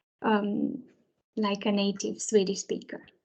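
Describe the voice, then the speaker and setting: Very slow and monotone, with flat intonation, a woman talks at a medium pitch. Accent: Romanian. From Romania. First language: Romanian. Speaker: early years teacher. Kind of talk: presentation to parents. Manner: hesitant, many fillers.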